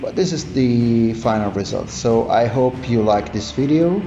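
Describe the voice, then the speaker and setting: Audible room echo and noticeable background noise surround a man with an Italian accent who speaks at a very slow pace and medium pitch. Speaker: miniature painting youtuber. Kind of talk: tutorial. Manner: halting. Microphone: phone recording.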